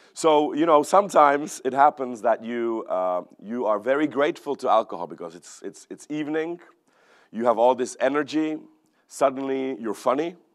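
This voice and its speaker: Against a quiet background, a man with a Czech accent and medium pitch talks at a moderate pace with lively intonation and big swings in loudness. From Czech Republic. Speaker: economist. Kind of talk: keynote talk. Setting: stage with audience.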